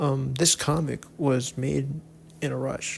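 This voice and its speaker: His pitch runs fairly high for a man, and this man's voice is somewhat breathy. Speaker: webcomic artist and YouTuber. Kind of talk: casual vlog talk to camera. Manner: halting, with many repeats and fillers.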